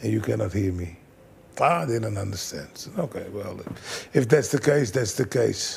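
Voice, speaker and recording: A medium-pitched man's voice with vocal fry, lively intonation, big swings in loudness, and long, frequent pauses. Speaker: kickboxing trainer. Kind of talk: interview.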